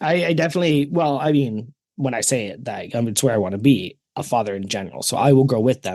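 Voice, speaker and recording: A man with a Canadian accent has a plain, everyday voice. He talks at a fairly quick pace with lively intonation. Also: quiet background. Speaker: podcast co-host. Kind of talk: casual chat.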